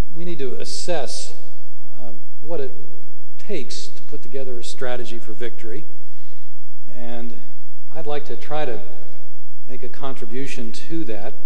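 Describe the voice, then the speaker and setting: There is light background noise as a man speaks at a moderate pace. His loudness stays very even, and he makes long, frequent pauses. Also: ordinary pitch variation. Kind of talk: speech. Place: hall. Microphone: podium.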